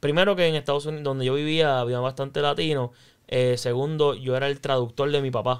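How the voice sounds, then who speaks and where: Against a quiet background, a man in a Puerto Rican accent talks at a fairly quick pace with a fairly high pitch and fairly even intonation. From Puerto Rico, then raised in the US. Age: young. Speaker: comedian; podcast guest. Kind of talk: interview. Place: studio. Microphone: studio mic.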